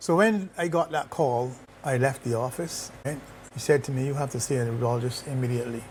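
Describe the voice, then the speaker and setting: This man speaks fairly quickly at a medium pitch, somewhat breathy, with ordinary pitch variation. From Barbados. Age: 60s. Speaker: retired corporate executive, cancer survivor. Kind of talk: interview testimony. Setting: sitting together in Barbados.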